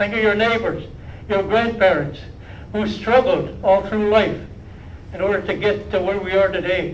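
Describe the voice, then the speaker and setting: The speech moves at a moderate pace through audible room echo and noticeable background noise. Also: man. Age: 80s+. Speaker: First Nation chief. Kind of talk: speech at public briefing. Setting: live-streamed public health media event.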